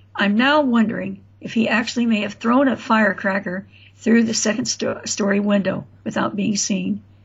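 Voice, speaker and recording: With an American accent and some vocal fry, the speaker moves at a moderate pace with fairly even intonation. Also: woman. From Florida and Indiana, US. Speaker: author. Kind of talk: interview storytelling.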